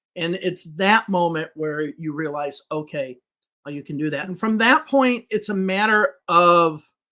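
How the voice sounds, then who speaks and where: A man in a high pitch with an American accent, bright, sharp tone, lively intonation, big swings in loudness, and a fairly slow pace. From US Midwest, Chicago. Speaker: English teacher. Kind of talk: podcast interview.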